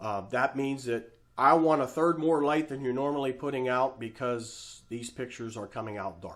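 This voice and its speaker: Very clean recording, silent background, of a man at a moderate pace. He has an unremarkable speaking voice with ordinary pitch variation. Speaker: photography teacher. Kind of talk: tutorial. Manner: casual, with fillers.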